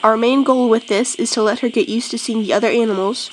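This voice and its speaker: A high-pitched woman's voice with ordinary pitch variation, set against noticeable background noise. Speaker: homesteader and video host. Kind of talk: tutorial.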